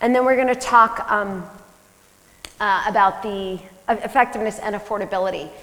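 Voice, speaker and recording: Over noticeable background noise, a woman with a fairly high pitch speaks with fairly even intonation and long, frequent pauses. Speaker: family physician. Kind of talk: conference talk. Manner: fast.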